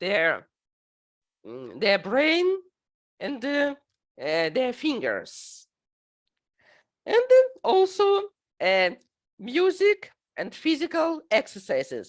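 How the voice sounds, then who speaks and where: In a very clean recording with a silent background, a woman with a Russian accent speaks very slowly, leaving long, frequent pauses. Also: big swings in loudness. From Ukraine. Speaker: teacher and conference presenter. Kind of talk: recorded conference presentation. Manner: halting, many filler sounds.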